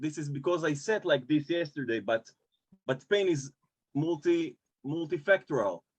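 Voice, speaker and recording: With an Israeli accent, a man speaks at a fairly high pitch with ordinary pitch variation, in a dry, close recording with no echo. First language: Hebrew. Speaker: personal trainer. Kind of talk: interview answer. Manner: halting in English.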